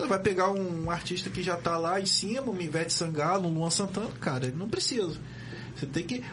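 Over noticeable background noise, a man with a high pitch speaks at a fairly quick pace. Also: ordinary pitch variation. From Brazil, Campos dos Goytacazes (RJ). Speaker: community radio host. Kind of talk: casual chat. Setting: studio. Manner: animated.

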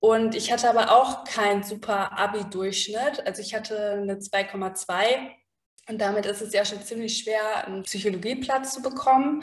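A plain, everyday voice from a woman, fairly high-pitched with fairly even intonation, big swings in loudness and a moderate pace. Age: 30s. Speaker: psychologist. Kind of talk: interview.

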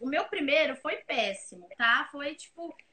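Raised and projected, a woman's high voice has a bright, sharp tone and very wide pitch swings. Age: 20s. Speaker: graphic designer. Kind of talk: casual interview chat. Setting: live video stream.

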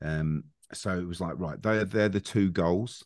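Against a quiet background, a man with a very deep, low pitch talks at a moderate pace with ordinary pitch variation. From Australia. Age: 40s. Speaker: metal band vocalist. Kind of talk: casual interview chat.

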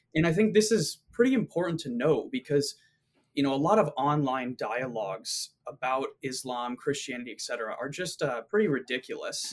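A man with an ordinary speaking voice, fairly high pitch and lively intonation. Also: moderate pace. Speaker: philosophy graduate student. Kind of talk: casual discussion.

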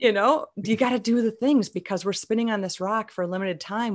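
In a very clean recording with a silent background, a woman with an American accent and a normal speaking voice talks at a fairly quick pace with lively intonation. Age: 50s. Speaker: voice actor, improv performer and speaker. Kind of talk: casual chat.

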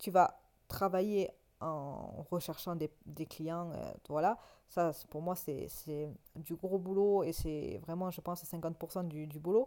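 Speaking very slowly with a dark, mellow tone, a woman with a fairly low pitch and ordinary pitch variation lets her loudness swing widely. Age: 20s. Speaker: photographer and podcaster. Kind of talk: solo monologue podcast. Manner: calm; hesitant, many fillers.

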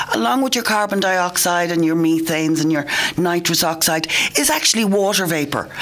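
In an Irish accent, a woman speaks at a moderate pace in a fairly low pitch. Her intonation is lively, and there is noticeable background noise. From Ireland. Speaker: environmental worker, radio panelist. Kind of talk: radio panel discussion. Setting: radio studio.

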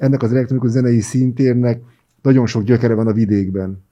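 Somewhat breathy and dark, mellow in tone, a man speaks at a very fast pace with a medium pitch and fairly even intonation. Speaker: podcast host. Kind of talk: interview. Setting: studio.

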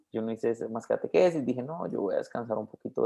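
This man talks at a very fast pace. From Colombia, Bogotá. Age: 20s. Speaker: religious brother. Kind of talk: interview.

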